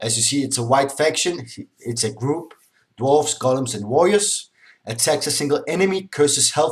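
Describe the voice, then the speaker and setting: At a moderate pace, a man speaks in a medium pitch that is somewhat breathy, with ordinary pitch variation. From Denmark. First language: Danish (also speaks Polish). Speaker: gaming YouTuber. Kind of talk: game commentary tutorial. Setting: screen recording with webcam. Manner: casual, slightly halting.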